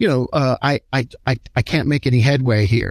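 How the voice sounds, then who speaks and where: In a dry, close recording with no echo, a man with a plain, everyday voice speaks at a medium pitch and a moderate pace. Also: very clean recording, silent background. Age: 60s. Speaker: HR consulting company founder. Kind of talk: interview.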